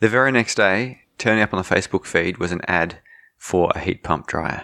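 In a very clean recording with a silent background, a man with an Australian accent speaks with lively intonation and a bright, sharp tone, the sound dry and close with no echo. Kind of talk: casual chat.

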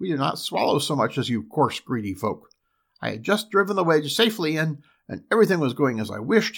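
A put-on character voice delivers its lines at a moderate pace on a very clean recording with a silent background. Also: man. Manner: snarling, insulting, ungrateful.

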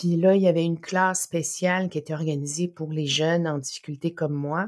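On a very clean recording with a silent background, a woman with an unremarkable speaking voice talks at a moderate pace, her pitch fairly low and her intonation fairly even. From Innu community, Quebec. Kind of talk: interview.

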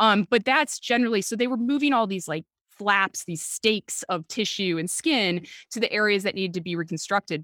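A woman's medium-pitched voice with an American accent, fairly quick pace and lively intonation, in a dry, close sound with no echo. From Chicago, US Midwest. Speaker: author and medical historian. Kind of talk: casual interview.

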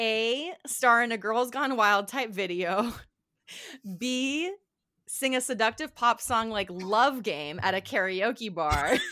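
Here a woman speaks with a fairly high pitch, a bright, sharp tone and lively intonation. Her pace is very slow, and the recording is very clean with a silent background. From Guam. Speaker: podcast co-host. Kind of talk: casual chat.

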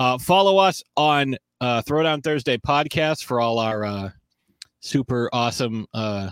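On a very clean recording with a silent background, a man has a plain, everyday voice at medium pitch with ordinary pitch variation. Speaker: sports talk show host. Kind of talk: casual banter, sports talk show. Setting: video recorded show.

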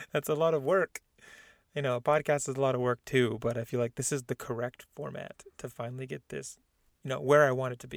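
A man with an American accent talks in a normal speaking voice at a fairly quick pace and medium pitch, with fairly even intonation and big swings in loudness, in a dry, close sound with no echo on a very clean recording with a silent background. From Southern California, San Diego. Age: 20s. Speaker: podcast host. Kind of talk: casual chat.

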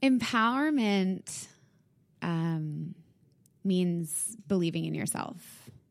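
A woman with a Canadian accent speaks at a medium pitch, somewhat breathy. The recording is very clean, with a silent background. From Canada, Winnipeg. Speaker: fitness studio founder. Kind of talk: casual interview.

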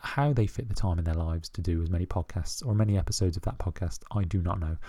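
A man with a British accent speaks at a very fast pace in a very deep, low, somewhat breathy voice with a dark, mellow tone. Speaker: podcast host. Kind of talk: casual solo monologue. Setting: at home. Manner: hesitant, many fillers.

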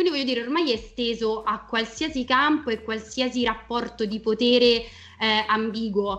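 In a plain, everyday voice, a woman speaks at a moderate pace and a fairly high pitch. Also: ordinary pitch variation. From Italy. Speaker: film and TV critic. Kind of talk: casual chat. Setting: live stream.

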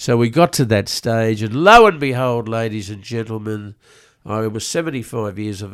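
In an Australian accent, a man speaks at a moderate pace. His pitch is medium, with ordinary pitch variation. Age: 80s+. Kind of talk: casual chat. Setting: studio.

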